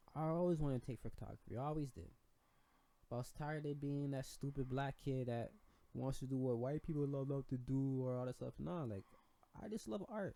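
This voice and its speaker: The voice has a dark, mellow tone and ordinary pitch variation. It moves at a fairly quick pace. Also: man. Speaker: podcast co-host. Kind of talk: casual podcast chat. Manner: heavy slang, blunt and to the point.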